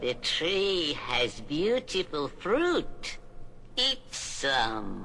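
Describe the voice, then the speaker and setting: A put-on character voice at a middle pitch and very slow pace, over clear background noise. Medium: audio drama. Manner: wheedling, sly.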